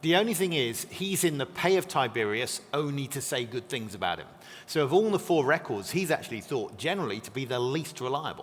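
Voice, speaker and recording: The pitch swings very widely as the words come at a fairly quick pace. Music plays in the background. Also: man, fairly high pitch for a man. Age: 40s. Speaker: biblical scholar. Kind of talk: interview. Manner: fast.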